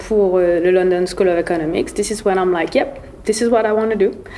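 Medium-pitched female voice with ordinary pitch variation over noticeable background noise. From Mauritius. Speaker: podcast guest, former baker and student. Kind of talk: casual chat, code-switching French and English.

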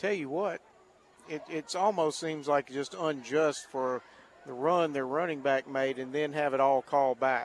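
A man with a normal speaking voice, fairly high in pitch, at a fairly slow pace with ordinary pitch variation. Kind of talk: color commentary alongside play-by-play in a football broadcast. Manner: conversational, measured, analytical.

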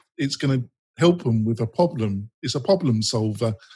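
A somewhat breathy man with an English accent. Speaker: podcast host. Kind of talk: casual interview.

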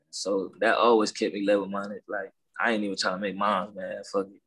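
A man's American accent with fairly even intonation. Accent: Southern-tinged Los Angeles. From Watts, Los Angeles. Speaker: rapper. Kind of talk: casual interview chat.

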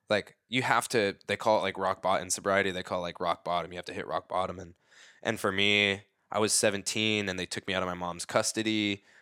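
A man with a fairly low pitch speaks in a monotone, flat intonation, his bright, sharp tone captured in a dry, close sound with no echo on a very clean recording with a silent background. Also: fairly quick pace. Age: 30s. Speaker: dancer. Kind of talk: casual chat.

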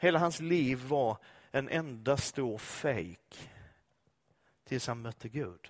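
Over a silent background in a very clean recording, a man with a medium-pitched voice and lively intonation talks at a very slow pace, leaving long, frequent pauses. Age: 50s. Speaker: pastor. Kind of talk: sermon. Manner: animated.

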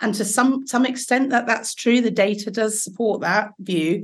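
Fairly high in pitch, a woman talks with an English accent. Her pace is moderate and her pitch variation ordinary. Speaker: safeguarding doctor and GP. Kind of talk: casual chat.

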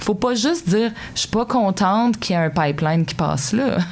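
A woman talks at a moderate pace with lively intonation. Noticeable background noise runs beneath her voice. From Quebec, Sherbrooke (Estrie). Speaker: mayor. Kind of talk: interview. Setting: studio.

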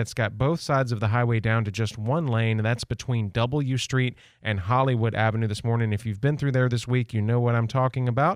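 A man's plain, everyday voice at a fairly quick pace, with ordinary pitch variation and a quiet background. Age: 40s. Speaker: radio traffic reporter. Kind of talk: traffic report. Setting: radio studio.

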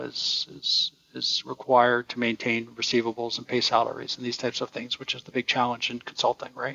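A man with a medium-pitched voice talks at a fairly quick pace. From Ontario, Canada. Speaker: engineering firm executive. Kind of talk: interview.

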